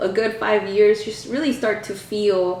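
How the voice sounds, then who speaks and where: A woman speaks at a moderate pace and medium pitch with fairly even intonation. Audible room echo and noticeable background noise surround her. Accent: American. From US South, Wilson, North Carolina. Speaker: community advocate. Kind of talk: interview. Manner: halting, with fillers and restarts.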